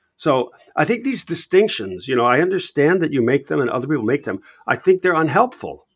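With an American accent and vocal fry, a man swings very widely in pitch, recorded dry and close with no echo. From United States. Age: 70s. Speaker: entrepreneurship professor and investor. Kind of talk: interview.

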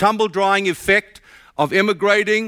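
A man's raised, projected voice sounds bright and sharp at a high pitch, on a very clean recording with a silent background. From South Africa. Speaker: pastor. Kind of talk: sermon. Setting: church.

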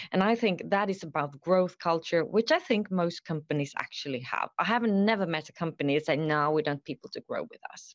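A woman's unremarkable speaking voice, fairly low-pitched, at a moderate pace, with a dry, close sound, no echo, and a quiet background. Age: 50s. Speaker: HR executive. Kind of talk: interview.

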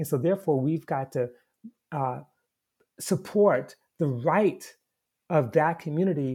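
A fairly high-pitched male voice, somewhat breathy with a dark, mellow tone, on a very clean recording with a silent background. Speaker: historian and activist. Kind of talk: interview.

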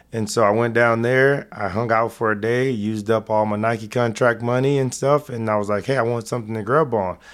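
A man's normal speaking voice at medium pitch, with an American accent, a fairly quick pace, hardly any pauses and fairly even intonation, on a very clean recording with a silent background. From Texas. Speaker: retired football player and investor. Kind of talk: casual interview.

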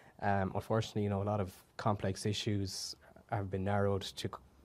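Delivered at a fairly quick pace in a western Irish accent, the monotone, flat intonation comes through on a very clean recording with a silent background. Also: man. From Ireland, Galway. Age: 20s. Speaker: youth wing president. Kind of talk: interview conversation.

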